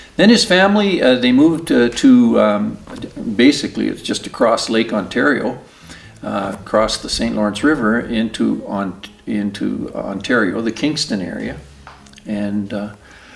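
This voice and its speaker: Someone with a Canadian accent talks at a moderate pace against noticeable background noise. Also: man. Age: 60s. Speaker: oral history interviewee. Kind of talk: oral history interview. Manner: halting, many fillers.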